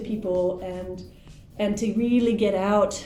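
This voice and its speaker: With music in the background and audible room echo, a woman with an American accent speaks at a medium pitch with ordinary pitch variation. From US Pacific Northwest, Portland, Oregon. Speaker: English teacher and teacher trainer. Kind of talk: interview.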